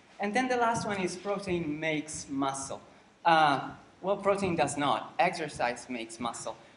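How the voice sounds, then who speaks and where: With lively intonation, a man talks against audible room echo. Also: moderate pace. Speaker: lecturer. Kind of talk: lecture. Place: hall. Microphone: camera far.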